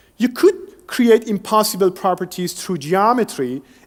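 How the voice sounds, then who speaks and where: Using lively intonation and a high pitch, a man speaks at a moderate pace in a Persian accent. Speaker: engineering researcher. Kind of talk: lecture.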